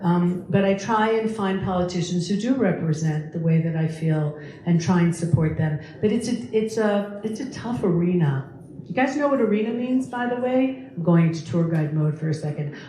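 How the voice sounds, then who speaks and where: A woman with an American accent speaks at a moderate pace and a fairly low pitch. The recording has audible room echo and noticeable background noise. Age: 60s. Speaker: lecturer and tour guide. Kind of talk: public talk Q&A. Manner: animated.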